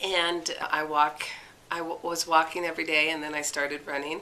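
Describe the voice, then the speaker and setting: A woman speaks at a very deep, low pitch in a monotone, flat intonation. Noticeable background noise is present. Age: 60s. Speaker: amateur athlete. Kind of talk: interview. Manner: casual, hesitant with fillers.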